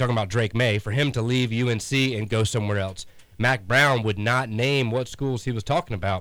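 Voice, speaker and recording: Moderate pace, medium pitch and ordinary pitch variation in a man's unremarkable speaking voice. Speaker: sports radio co-host. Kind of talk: sports talk radio.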